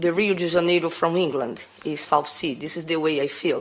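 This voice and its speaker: Against noticeable background noise, a woman with a Brazilian accent talks at a fairly low pitch with fairly even intonation. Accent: Brazilian, non-native English. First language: Portuguese. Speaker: bar owner applying for a licence. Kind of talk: testimony at licensing hearing. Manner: halting.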